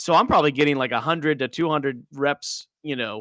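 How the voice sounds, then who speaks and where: In a bright, sharp tone, a man with an American accent speaks at a fairly high pitch, the recording very clean with a silent background and a dry, close sound with no echo. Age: 30s. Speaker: podcast host and soccer coach. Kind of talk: casual interview.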